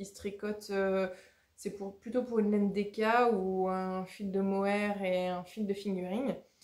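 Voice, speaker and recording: The woman speaks at a medium pitch. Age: 30s. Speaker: knitting podcaster. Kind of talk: casual vlog-style podcast monologue. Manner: hesitant, many filler 'euh'.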